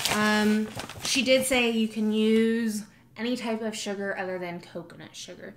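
An unremarkable speaking voice moves at a moderate pace. Light background noise is present. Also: woman. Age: 20s. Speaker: lifestyle vlogger. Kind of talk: casual vlog. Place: kitchen. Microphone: phone near.

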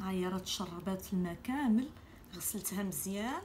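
A woman at a medium pitch and a fairly slow pace, over light background noise. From Morocco. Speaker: cooking channel host. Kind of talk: cooking tutorial. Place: kitchen. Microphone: phone near.

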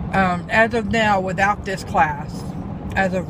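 A woman talks at a very slow pace. The sound is dry with no echo, and there is noticeable background noise. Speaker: vlogger. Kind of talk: casual vlog chat. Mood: relieved, mildly sardonic. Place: car. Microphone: phone near.

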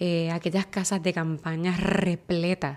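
A woman's fairly low-pitched voice, monotone and flat, at a very slow pace. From Puerto Rico. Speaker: TV news reporter. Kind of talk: interview conversation. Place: studio. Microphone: studio mic.

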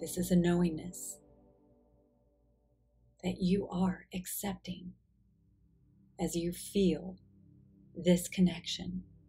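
Over music in the background, a woman speaks at a very slow pace with long, frequent pauses, her fairly low voice calm and soothing in tone with monotone, flat intonation. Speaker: guided meditation guide. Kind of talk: guided meditation narration. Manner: slow, calm, soothing, with long pauses.

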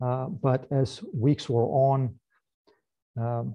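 Against a quiet background, a man speaks in a dark, mellow tone that is somewhat breathy. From Moldova. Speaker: government agency director; presenter. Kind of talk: presentation. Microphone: video call.

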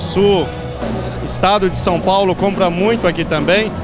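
A man at a fairly slow pace, with clear music in the background and a dry sound free of echo. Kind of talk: interview answer. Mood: upbeat, promotional. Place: shop. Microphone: handheld.

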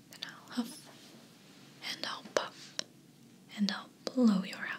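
A woman uses a put-on character voice that is raspy and fairly high in pitch. She speaks at a fairly slow pace. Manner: growling, loud.

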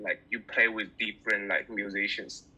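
Here a man is talking. His accent is Chinese. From China. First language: Mandarin Chinese. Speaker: bassist; guest. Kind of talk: interview. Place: home room. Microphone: video call.

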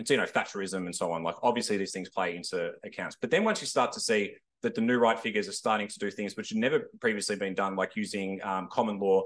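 This man has an Australian accent. He talks at a very fast pace with hardly any pauses. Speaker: historian panellist. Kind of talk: panel discussion.

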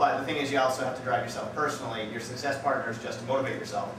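A man is heard with audible room echo and noticeable background noise. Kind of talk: casual vlog chat. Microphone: camera far.

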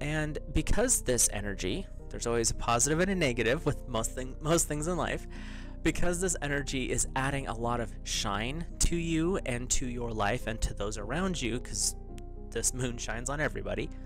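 A man speaks at a moderate pace. His voice is dry with no echo, and music plays clearly in the background. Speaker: tarot host. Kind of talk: casual spiritual talk to viewers. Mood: calm, lightly amused. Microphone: studio mic.

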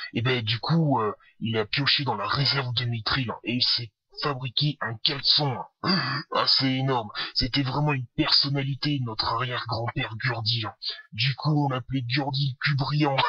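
A man speaks in a put-on character voice with a grumpy tone, at a medium pitch. His pace is moderate. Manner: grumpy, aggressive, boastful.

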